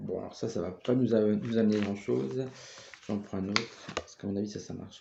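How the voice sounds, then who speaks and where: A man speaks at a medium pitch in a dark, mellow tone with fairly even intonation. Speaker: tarot card reader. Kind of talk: tarot reading monologue. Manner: calm.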